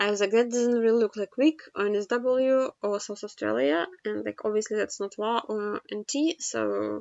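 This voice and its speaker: A woman with a non-native accent, speaking at a fairly slow pace. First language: not English. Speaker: geoguessr gaming youtuber. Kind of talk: game commentary. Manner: halting, many fillers.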